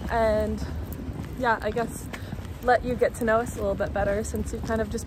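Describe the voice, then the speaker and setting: Fairly quick speech from a woman, noticeable background noise behind her. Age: 20s. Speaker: biomedical science graduate, vlogger. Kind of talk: casual chat. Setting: outdoors, walking.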